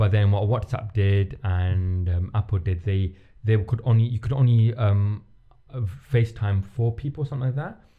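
At a moderate pace, a man speaks in a dark, mellow tone that is somewhat breathy, with ordinary pitch variation. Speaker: podcast host. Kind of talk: casual chat. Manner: halting.

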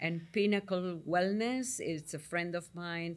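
A woman with an Argentine accent, fairly low pitch and fairly slow pace, in a very clean recording with a silent background. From Argentina, Buenos Aires. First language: Spanish. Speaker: psychotherapist. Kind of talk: interview. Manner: halting.

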